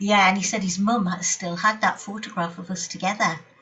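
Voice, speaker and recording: A woman speaks with a Geordie accent. Her voice sits at medium pitch, with fairly even intonation. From Newcastle, England. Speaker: speedway writer and novelist. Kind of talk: interview answer.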